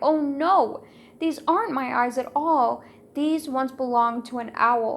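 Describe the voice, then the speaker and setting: Using a put-on character voice, a woman speaks high in pitch at a fairly slow pace. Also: ordinary pitch variation. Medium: read story. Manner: plaintive, miserable.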